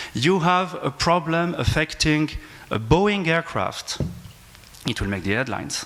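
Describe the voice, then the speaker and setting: A man with a French accent speaks with lively intonation and long, frequent pauses. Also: fairly high pitch for a man. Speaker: aviation law professor. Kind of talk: panel discussion. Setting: conference panel with audience. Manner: halting.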